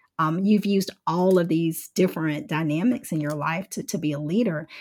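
The recording is very clean, with a silent background. A woman speaks at a fairly low pitch, somewhat breathy. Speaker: podcast host and social worker. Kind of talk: interview conversation.

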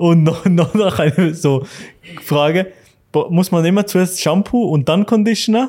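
Speaking at a fairly slow pace, the man has a high pitch, ordinary pitch variation and very even loudness. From Switzerland. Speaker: podcast host. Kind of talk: casual chat. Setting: barber shop.

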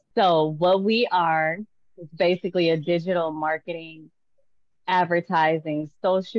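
A woman with a fairly low pitch speaks in an ordinary speaking voice. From Tulsa, Oklahoma. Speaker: artist and entrepreneur. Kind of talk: casual interview. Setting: video call.

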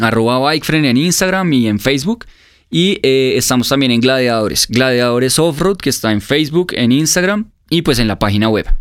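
A man with a normal speaking voice, medium pitch, very even loudness, lively intonation and a moderate pace, in a very clean recording with a silent background. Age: 20s. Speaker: motorcycle event organizer. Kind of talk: casual interview.

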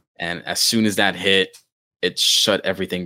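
With a bright, sharp tone and a very deep, low pitch, a man speaks in a flat monotone, recorded dry and close with no echo. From moved around, mainly Pennsylvania from about age ten (born in the Bronx). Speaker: podcast host. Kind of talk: casual chat.

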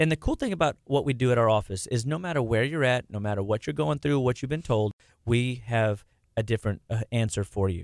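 On a very clean recording with a silent background, an unremarkable speaking voice goes at a fairly quick pace, its intonation lively. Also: man, medium pitch for a man. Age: 40s. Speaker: nutrition clinician. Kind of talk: radio interview.

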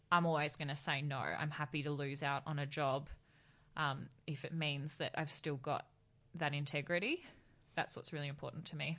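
A woman with an Australian accent, very deep and low in pitch, bright and sharp in tone, at a moderate pace against a quiet background. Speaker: beauty writer and influencer. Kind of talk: casual chat. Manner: dry, even tone regardless of excitement.

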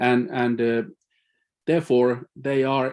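A man with a Finnish accent, medium in pitch, with fairly even intonation. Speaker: climate scientist. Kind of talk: panel presentation. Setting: live-streamed online meeting.

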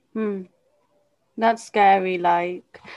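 A woman's medium-pitched voice in a British accent, monotone with flat intonation. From UK. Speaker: podcast host, fitness company CEO. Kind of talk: interview.

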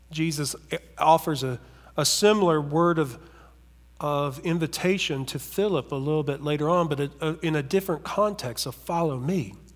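This speaker has an Appalachian accent and talks at a moderate pace with ordinary pitch variation. The recording is very clean, with a silent background. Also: man, fairly high pitch for a man. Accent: Appalachian American. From US South, southern West Virginia. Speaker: pastor. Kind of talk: sermon.

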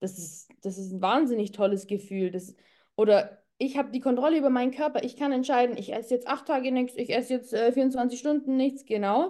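With a dark, mellow tone and ordinary pitch variation, a woman speaks at a fairly quick pace. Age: 30s. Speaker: physician and psychotherapist. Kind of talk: interview.

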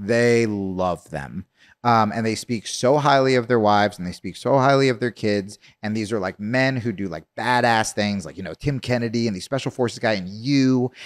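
On a very clean recording with a silent background, a man of medium pitch talks at a moderate pace with ordinary pitch variation. The sound is dry and close, with no echo. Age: 40s. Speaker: comedian and podcast host. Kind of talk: casual chat.

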